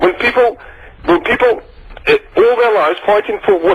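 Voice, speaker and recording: A man talks as noticeable background noise fills the recording. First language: not English. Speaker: caller. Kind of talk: heated debate. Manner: halting.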